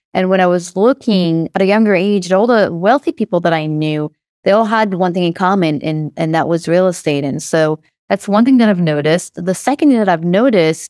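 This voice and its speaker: A woman with an Israeli accent speaks fairly quickly at a fairly low pitch, with ordinary pitch variation and a dry, close sound with no echo. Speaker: real estate investor and company founder. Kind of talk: casual interview.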